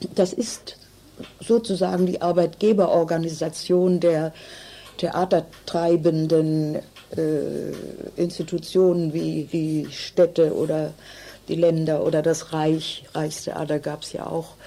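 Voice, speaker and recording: A woman's fairly low, monotone, flat voice at a very slow pace, with long, frequent pauses and noticeable background noise. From northern Germany (Hannover). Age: 80s+. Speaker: contemporary witness, theatre scholar. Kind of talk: interview testimony.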